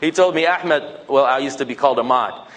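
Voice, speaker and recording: A man talking at a very fast pace with ordinary pitch variation, over noticeable background noise. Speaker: Islamic speaker. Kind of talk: talk to mosque audience. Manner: animated.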